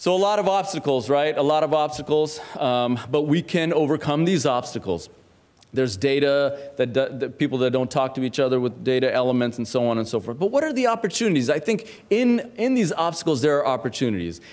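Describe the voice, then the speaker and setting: A man with a fairly high pitch talks at a fairly quick pace, his voice making very wide pitch swings. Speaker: physician speaker. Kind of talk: conference talk. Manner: fast.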